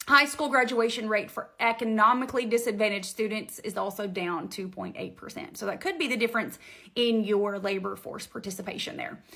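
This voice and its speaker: Bright and sharp in tone, a woman talks at a fairly quick pace with hardly any pauses, ordinary pitch variation and big swings in loudness. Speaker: real estate broker. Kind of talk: informational video monologue. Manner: fast; animated.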